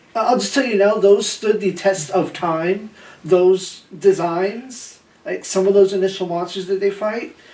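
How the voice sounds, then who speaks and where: Someone talks fairly slowly, with noticeable background noise behind the voice. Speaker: cosplay group member. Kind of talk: casual chat. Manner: halting.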